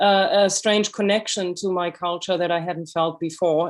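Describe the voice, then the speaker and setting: A woman's fairly low voice in a German accent with monotone, flat intonation. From Germany. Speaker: author and illustrator. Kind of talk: lecture. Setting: video call.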